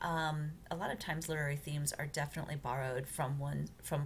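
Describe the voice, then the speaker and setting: Talking very fast in a flat monotone, a woman with a very deep, low pitch is heard with audible room echo. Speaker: college writing instructor. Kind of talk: recorded lecture walkthrough. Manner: hesitant, many fillers.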